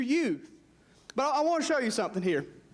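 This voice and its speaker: Speaking with an American accent, a man's voice carries audible room echo. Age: 20s. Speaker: pastor. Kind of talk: sermon. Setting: church. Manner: animated.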